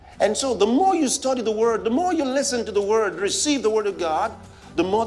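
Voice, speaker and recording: A voice with a Nigerian accent comes through over noticeable background noise. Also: man. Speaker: pastor. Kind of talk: sermon.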